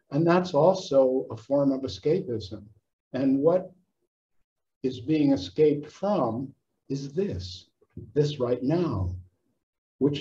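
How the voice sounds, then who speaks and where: A man speaks at a very slow pace in a somewhat breathy voice. His fairly high pitch comes with a dark, mellow tone. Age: 70s. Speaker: psychotherapist and author. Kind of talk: casual chat.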